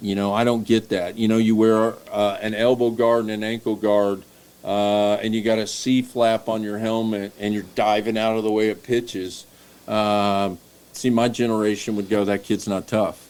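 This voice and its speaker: The speaker has a Tennessee accent and a moderate pace. The intonation is monotone and flat. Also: man, fairly low pitch for a man. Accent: Southern US (Tennessee). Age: 60s. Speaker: baseball coach. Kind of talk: casual chat.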